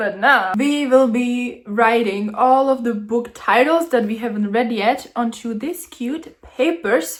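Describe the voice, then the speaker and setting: The speaker has a non-native accent and goes at a very slow pace. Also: woman. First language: not English. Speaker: booktuber. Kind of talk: casual vlog narration. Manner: animated.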